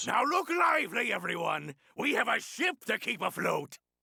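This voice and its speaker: A man's put-on character voice, shouted at an extremely high pitch and a moderate pace. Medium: video game. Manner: hearty pirate bravado.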